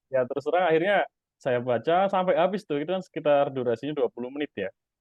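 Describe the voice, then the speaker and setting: With a Javanese accent, the speaker talks at a very fast pace with ordinary pitch variation. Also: man, fairly high pitch for a man. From East Java, Indonesia. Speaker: stock investor and YouTuber. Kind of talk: interview. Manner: casual, hesitant with fillers.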